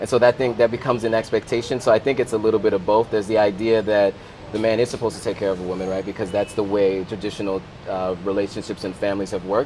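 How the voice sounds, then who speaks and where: A man at a fairly low pitch and very fast pace in a monotone, flat intonation, with music in the background. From US, Sierra Leonean family. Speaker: content creator. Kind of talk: casual chat.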